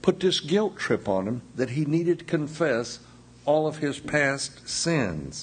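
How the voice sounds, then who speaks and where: With lively intonation, a somewhat breathy man speaks at a fairly slow pace and a fairly high pitch. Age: 60s. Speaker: pastor. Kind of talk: sermon. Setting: church.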